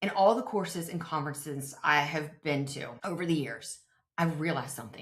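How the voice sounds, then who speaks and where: A woman speaks at a fairly quick pace with a very deep, low pitch. Her pitch varies in an ordinary way. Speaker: nurse practitioner and podcast host. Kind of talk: solo podcast monologue with promotion. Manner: fast; conversational.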